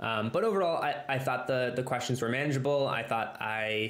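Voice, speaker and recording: The man speaks at a medium pitch. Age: 30s. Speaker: structural engineer; guest. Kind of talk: casual interview. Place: home room. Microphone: earbuds.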